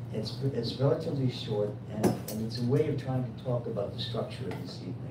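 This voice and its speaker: A man talks at a very fast pace. Loud background noise and audible room echo fill the recording. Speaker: event moderator. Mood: warm, lightly humorous. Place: shop. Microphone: camera far.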